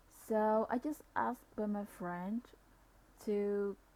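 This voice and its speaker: A woman with a non-native accent speaks quietly and very slowly, her medium-pitched voice keeping a fairly even intonation. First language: non-native English speaker. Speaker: civil engineering / GIS practitioner. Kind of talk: software tutorial narration. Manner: quiet, low volume.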